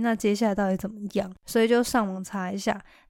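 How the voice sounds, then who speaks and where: A woman talks at a very fast pace. Her medium-pitched voice stays monotone and flat. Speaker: podcast host. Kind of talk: casual monologue. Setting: recording at home.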